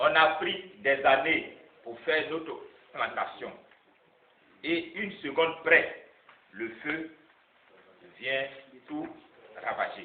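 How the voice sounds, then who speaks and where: A man speaks at a very slow pace with long, frequent pauses, ordinary pitch variation and big swings in loudness, amid noticeable background noise and audible room echo. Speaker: NGO president. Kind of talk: public speech. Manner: halting.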